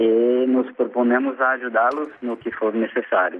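In a Portuguese accent, a man speaks at a fairly slow pace. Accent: Portuguese-accented beginner Spanish. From Brazil. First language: Portuguese (speaking Spanish). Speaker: university lecturer and NGO worker. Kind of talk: interview. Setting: phone call.

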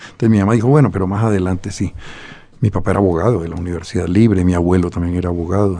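Here a man talks in a dark, mellow tone with ordinary pitch variation. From Colombia, Bogotá. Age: 60s. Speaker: poet and novelist. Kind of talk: interview.

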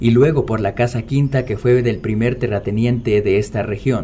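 Fairly slow and somewhat breathy, a man's dark, mellow voice sits at a medium pitch with ordinary pitch variation. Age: young. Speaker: podcast narrator. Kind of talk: scripted narration.

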